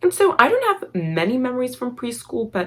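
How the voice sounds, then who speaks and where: A somewhat breathy woman speaks at a moderate pace. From Armenian family, grew up in the US. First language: Armenian. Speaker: YouTuber. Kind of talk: storytime vlog. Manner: casual, filler-heavy.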